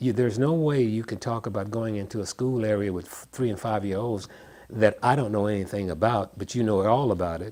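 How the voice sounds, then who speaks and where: A man's fairly low voice in a Memphis accent, dark and mellow in tone, with ordinary pitch variation at a fairly quick pace. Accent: Southern US, Memphis. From US South. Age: 70s. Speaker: songwriter. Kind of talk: interview. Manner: halting, frequent repetitions.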